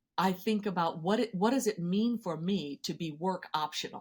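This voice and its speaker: This woman has an unremarkable speaking voice, fairly low in pitch with ordinary pitch variation, on a very clean recording with a silent background. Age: 60s. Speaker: financial therapy expert and educator. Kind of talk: podcast interview.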